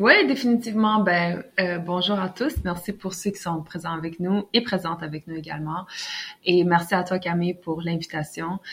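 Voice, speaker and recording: Moderately paced speech from a woman with ordinary pitch variation, noticeable background noise behind her. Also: fairly low pitch for a woman. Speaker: author. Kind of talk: interview.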